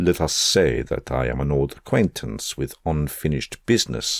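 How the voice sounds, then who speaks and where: This man uses a put-on character voice, very deep and low in pitch. It rumbles along at a moderate pace. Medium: read story. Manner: low, mocking, menacing.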